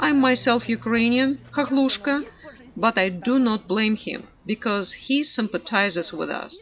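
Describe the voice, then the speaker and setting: Over noticeable background noise, a woman with a fairly high voice talks at a fairly slow pace with lively intonation. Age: 70s. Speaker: pensioner. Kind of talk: street interview. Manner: animated.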